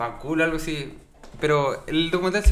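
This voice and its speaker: A man with a fairly high pitch talks at a moderate pace with ordinary pitch variation, and audible room echo can be heard. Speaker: podcast co-host. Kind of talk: casual chat.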